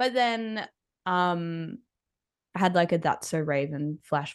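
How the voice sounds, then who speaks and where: In an Australian accent, a woman speaks fairly slowly at a fairly low pitch, with ordinary pitch variation and a quiet background. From Australia (Brisbane). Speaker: musician. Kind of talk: casual chat.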